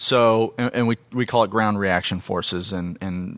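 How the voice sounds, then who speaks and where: A man with a fairly low pitch speaks at a moderate pace with fairly even intonation, in a normal speaking voice. The recording is very clean, the background silent. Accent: American. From US Southwest (Phoenix, Arizona). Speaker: physical therapist. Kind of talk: interview.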